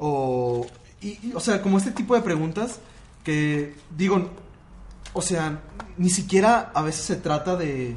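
A man with a Mexico City accent speaks at a very slow pace in a high voice, his lively intonation broken by long, frequent pauses, with audible room echo and noticeable background noise. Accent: Mexico City Spanish (chilango). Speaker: podcast guest. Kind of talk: casual chat.

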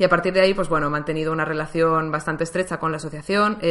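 A woman's very deep, low voice at a very fast pace, with fairly even intonation and noticeable background noise. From Valencia, Spain. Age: 20s. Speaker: podcaster. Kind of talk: personal monologue.

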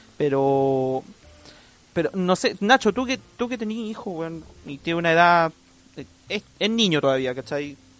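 Long, frequent pauses break up this fairly slow delivery. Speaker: podcast co-host. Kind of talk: casual chat. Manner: animated.

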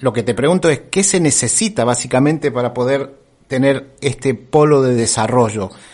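A man with an ordinary speaking voice keeps a moderate pace, and his pitch variation is ordinary. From Argentina, Córdoba. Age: 50s. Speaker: radio host. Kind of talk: interview.

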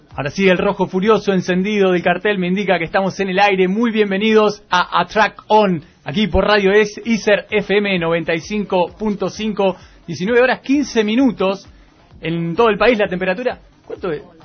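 A man with a high voice speaks at a fairly slow pace with fairly even intonation, with noticeable background noise. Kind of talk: casual chat.

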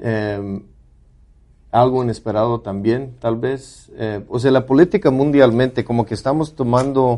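An ordinary speaking voice from a man, medium in pitch, at a fairly slow pace with fairly even intonation. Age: 40s. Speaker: podcast co-host. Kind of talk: casual chat.

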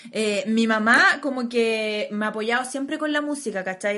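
A fairly high-pitched woman with a Chilean accent, at a fairly slow pace. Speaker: podcast co-host. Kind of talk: casual chat.

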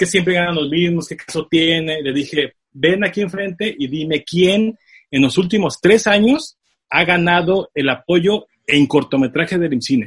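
A man with a high voice talks in an animated tone at a fairly slow pace, his pitch varying in an ordinary way. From Tijuana, Mexico. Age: 30s. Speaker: film producer. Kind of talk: interview.

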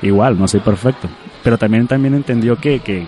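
Lively intonation marks this man's speech. There is noticeable background noise. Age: 20s. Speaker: Facebook page creator and charity organizer. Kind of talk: casual interview.

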